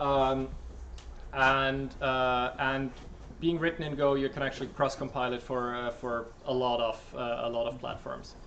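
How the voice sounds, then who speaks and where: A man of medium pitch speaks at a fairly slow pace with flat, monotone intonation. Room echo is audible. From Switzerland. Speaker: software developer. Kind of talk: talk Q&A. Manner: halting with many fillers.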